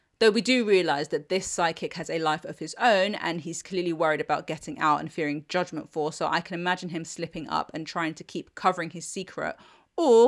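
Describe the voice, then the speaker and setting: With a British accent, a woman talks at a fairly quick pace in a fairly low pitch with ordinary pitch variation, on a very clean recording with a silent background. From Britain. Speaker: TV review podcast host. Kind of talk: solo scripted review monologue.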